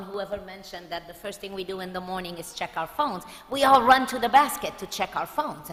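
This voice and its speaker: Lively intonation moves along at a fairly quick pace against noticeable background noise. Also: woman. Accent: French. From France. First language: French. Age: 50s. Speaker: pediatrician. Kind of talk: talk to parents.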